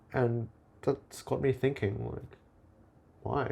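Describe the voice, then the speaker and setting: At a very slow pace, a man speaks in a dark, mellow tone with vocal fry, using a medium pitch with ordinary variation. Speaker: vlogger. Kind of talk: casual monologue video log. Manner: halting, searching for words.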